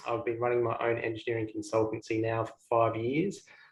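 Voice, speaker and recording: Somewhat breathy speech comes at a fairly quick pace. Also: man. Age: 30s. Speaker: engineer and podcast co-host. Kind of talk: self-introduction.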